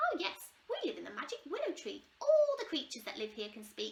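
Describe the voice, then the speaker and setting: A squeaky, put-on character voice from a woman, extremely high-pitched, at a fairly quick pace. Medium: read story.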